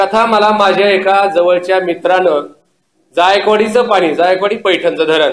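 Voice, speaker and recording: The speech holds fairly even intonation and very even loudness. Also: man. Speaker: storyteller. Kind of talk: live oral storytelling performance.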